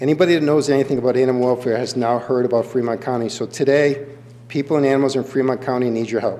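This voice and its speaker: Noticeable background noise fills the recording. A man speaks over it very fast. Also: medium pitch for a man, fairly even intonation. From New England. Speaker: animal shelter director. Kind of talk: public comment at county board meeting. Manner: passionate.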